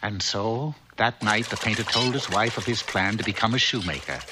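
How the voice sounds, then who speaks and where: Noticeable background noise sits behind a man speaking at a medium pitch. His pace is moderate and his pitch variation ordinary. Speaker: narrator. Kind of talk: children's cartoon narration.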